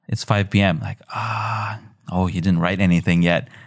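At a fairly quick pace, a man talks with a slight Filipino accent. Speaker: video editor and designer. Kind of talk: casual chat.

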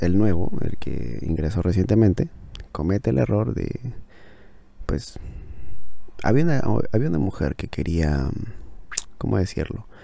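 Amid noticeable background noise, a man with a very deep, low pitch and very wide pitch swings speaks at a fairly slow pace with long, frequent pauses. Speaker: podcaster reviewing books. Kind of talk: casual book review monologue. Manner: halting, with many fillers and repetitions.

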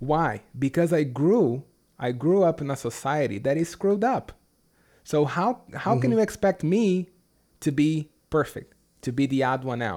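In a Brazilian accent, a man speaks at a moderate pace with lively intonation and a fairly high pitch. His tone is dark and mellow, and the recording is very clean with a silent background. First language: Portuguese. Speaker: English teacher. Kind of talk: casual interview chat.

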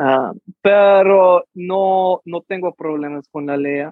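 The speaker has an American accent. Pitch moves up and down in an ordinary way. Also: man. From New Mexico, US. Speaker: actor and musician. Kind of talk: interview. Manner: halting.

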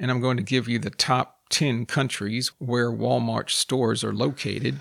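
In a very clean recording with a silent background, a man with a Texan accent talks at a fairly slow pace and a medium pitch. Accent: Texan American English. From United States. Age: 50s. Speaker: podcast host and English teacher. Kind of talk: educational monologue for language learners. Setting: solo podcast recording. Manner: slow, clear enunciation for learners.

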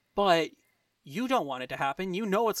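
With a dry, close sound and no echo, a man speaks at a moderate pace in a high pitch. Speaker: podcast co-host. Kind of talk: casual chat. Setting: video call.

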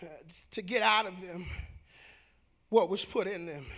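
Pitched high, a man talks at a fairly slow pace with ordinary pitch variation and an animated tone. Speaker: preacher. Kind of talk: sermon. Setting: church. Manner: animated, call-and-response preaching; loud, rhythmic, exhortative.

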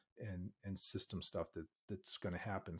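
With an American accent, a man talks in a fairly low pitch and a somewhat breathy voice, on a very clean recording with a silent background. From US Northeast (Boston). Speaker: healthcare business professor and executive. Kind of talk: interview conversation.

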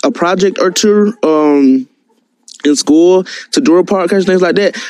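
With an American accent, a man speaks at a moderate pace in a dark, mellow tone, his pitch varying in an ordinary way. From US South, Columbus, Georgia. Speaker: caller. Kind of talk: casual chat. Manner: stutters; calm.

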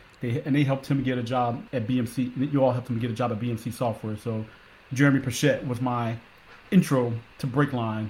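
A man with an American accent speaks at a fairly quick pace. His medium-pitched voice is somewhat breathy. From Philadelphia, Pennsylvania. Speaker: Coast Guard veteran working in tech. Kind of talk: interview conversation. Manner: animated.

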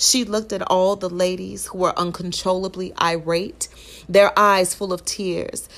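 A woman speaks at a medium pitch and a fairly slow pace in a dramatic tone. Her intonation is monotone and flat. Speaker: podcast host and poet. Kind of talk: spoken-word poetry reading, rhymed verse delivered as a performance. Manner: dramatic, rhythmic storytelling with a sassy, knowing tone.

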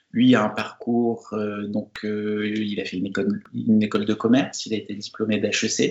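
A man's fairly low voice at a fairly slow pace. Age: 40s. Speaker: pastry chef. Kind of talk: interview. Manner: halting.

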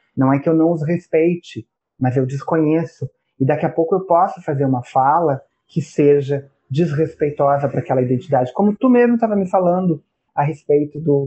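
A man speaks with an unremarkable speaking voice at a fairly high pitch. His pace is moderate, his pitch variation ordinary, and his loudness very even. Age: 40s. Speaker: professor. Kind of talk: casual chat.

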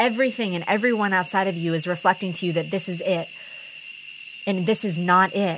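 With a bright, sharp, passionate tone, a woman speaks at a medium pitch. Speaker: podcast host and personal growth facilitator. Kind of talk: solo motivational monologue.

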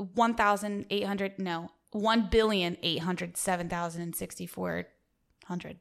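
Against a silent background in a very clean recording, someone with an American accent speaks at a moderate pace with fairly even intonation. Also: woman, medium pitch for a woman. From US South. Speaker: co-host applicant. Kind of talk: mock job interview.

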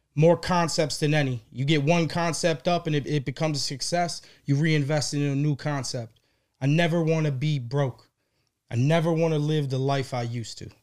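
A man speaks at a moderate pace in an unremarkable speaking voice, his pitch fairly high and his intonation fairly even. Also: very clean recording, silent background. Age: 30s. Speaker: gourmet popcorn business owner. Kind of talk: casual interview chat.

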